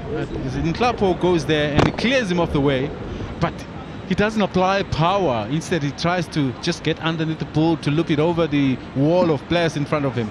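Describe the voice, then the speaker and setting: At a moderate pace, a man with high pitch and ordinary pitch variation speaks over noticeable background noise. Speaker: football analyst, co-commentator. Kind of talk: co-commentary, relaxed analysis. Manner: measured, conversational.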